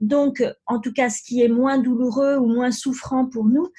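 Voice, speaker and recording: A woman speaks at a high pitch with a dark, mellow tone. Her pace is fairly slow, and the background is quiet. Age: 50s. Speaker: life coach, former pharmacist. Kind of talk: interview. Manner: halting, many fillers.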